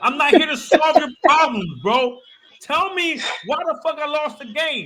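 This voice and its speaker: In a raised, projected voice, a man sounds animated at an extremely high pitch, moving at a fairly slow pace with ordinary pitch variation. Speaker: sports podcast co-host. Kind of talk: casual sports chat.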